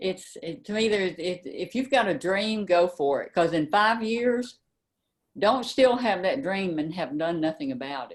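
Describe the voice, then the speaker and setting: A woman's medium-pitched voice with a Tennessee accent, lively intonation and big swings in loudness. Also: moderate pace. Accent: Southern US (Tennessee). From US South, Memphis, Tennessee. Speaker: mystery novelist. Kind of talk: interview. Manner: halting, with many fillers.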